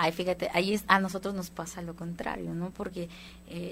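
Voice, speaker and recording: Talking at a very fast pace, a woman keeps a medium pitch. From Guatemala. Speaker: band musician. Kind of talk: casual interview.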